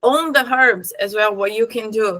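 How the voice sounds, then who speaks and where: A woman talks in a bright, sharp tone at a fairly high pitch with ordinary pitch variation. She has a slight Brazilian accent. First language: Portuguese. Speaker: spiritual teacher. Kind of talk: tutorial. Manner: casual; halting.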